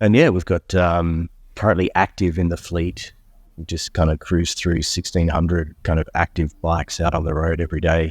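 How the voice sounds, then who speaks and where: In an Australian accent, a man with a very deep, low pitch speaks at a moderate pace in a monotone, flat intonation, the recording very clean with a silent background and a dry, close sound with no echo. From Australia, Melbourne. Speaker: entrepreneur, company co-founder. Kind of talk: interview. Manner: casual with frequent fillers.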